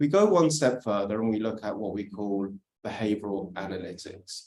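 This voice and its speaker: A man with a British accent at a medium pitch and a moderate pace, with lively intonation. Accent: British accent, noticeable. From UK. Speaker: industry speaker on crypto compliance. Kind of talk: workshop presentation.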